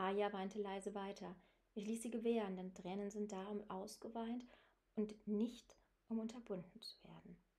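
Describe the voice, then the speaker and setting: The voice is dark and mellow, moving at a moderate pace with monotone, flat intonation. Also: woman. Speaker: audiobook narrator and author. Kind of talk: audiobook reading, literary first-person narration.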